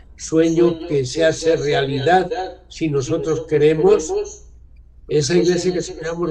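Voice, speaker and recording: A man at a fairly high pitch with fairly even intonation and a fairly slow pace, in audible room echo. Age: 70s. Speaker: author on church renewal. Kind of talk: talk to discussion group.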